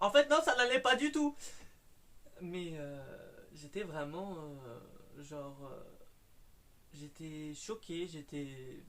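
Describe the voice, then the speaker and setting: At a very slow pace, a man speaks at a high pitch. His intonation is lively. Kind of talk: casual talk to camera, personal paranormal anecdote. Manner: hesitant, with stutters and fillers.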